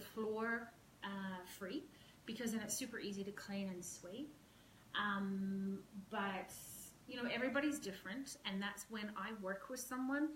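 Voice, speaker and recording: Noticeable background noise and audible room echo surround a woman speaking at a fairly slow pace with a fairly high pitch and ordinary pitch variation. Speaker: professional organizer. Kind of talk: live-stream home tour tutorial. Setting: at home, walking with camera. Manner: hesitant, many fillers.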